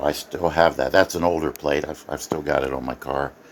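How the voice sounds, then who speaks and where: A man talks while noticeable background noise carries through the clip. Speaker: amateur radio hobbyist and author. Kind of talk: casual home video tour. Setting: home office, recorded on tablet.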